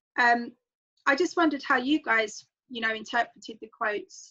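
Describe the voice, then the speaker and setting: With a strong London accent, a woman talks fairly quickly at a high pitch. Her tone is bright and sharp, over a quiet background. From London, England. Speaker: book club host. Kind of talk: online group discussion.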